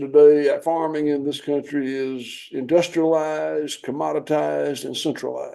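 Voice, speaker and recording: With a Southern US accent, a man speaks at a moderate pace with hardly any pauses. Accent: Southern US (Georgia). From US South, southwest Georgia. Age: 60s. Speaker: farmer. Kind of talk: interview.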